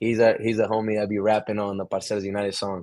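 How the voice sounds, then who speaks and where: The delivery is loud with an animated tone. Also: man. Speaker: podcast guest, content creator. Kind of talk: casual chat.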